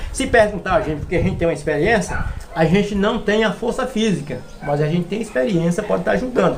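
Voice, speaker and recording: Very fast and lively in intonation, a man talks at a high pitch. Audible room echo and noticeable background noise surround him. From Brazil, Minas Gerais (Serra dos Aimorés). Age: 60s. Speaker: florist and forestry worker. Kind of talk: interview. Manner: hesitant, repetitive fillers.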